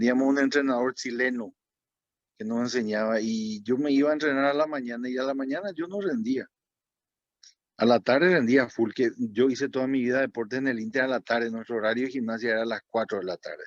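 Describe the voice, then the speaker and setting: The delivery moves at a fairly quick pace. Pitch variation is ordinary. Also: man, medium pitch for a man. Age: 60s. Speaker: former diving champion. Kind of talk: talk to students. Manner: halting.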